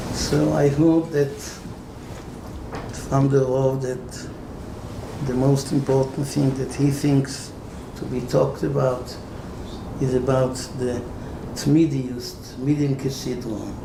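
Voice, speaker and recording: A man speaks very slowly at a medium pitch, with a non-native accent, fairly even intonation, and long, frequent pauses. Noticeable background noise and audible room echo fill the recording. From Israel. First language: Hebrew. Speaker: rabbi. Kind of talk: Torah lecture.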